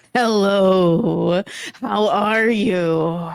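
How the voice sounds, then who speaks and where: A female-sounding voice booms out in a put-on character voice. Its pitch is medium. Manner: booming.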